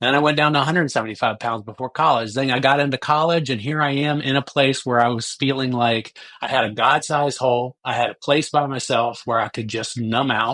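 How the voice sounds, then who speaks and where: A man with an ordinary speaking voice talks at a fairly quick pace with hardly any pauses, a medium pitch, and fairly even intonation. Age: 60s. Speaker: recovering addict sharing his story. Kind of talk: testimony. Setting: podcast interview.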